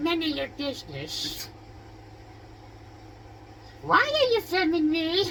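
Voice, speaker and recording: A put-on character voice, guttural and extremely high, moves at a fairly slow pace. Long, frequent pauses break it up over light background noise. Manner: annoyed, curt, defensive.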